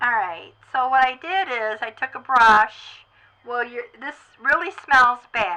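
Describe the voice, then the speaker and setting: A woman's high-pitched voice, bright and sharp in tone, with lively intonation at a very slow pace. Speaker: doll artist making a tutorial video. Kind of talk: tutorial. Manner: casual with many fillers.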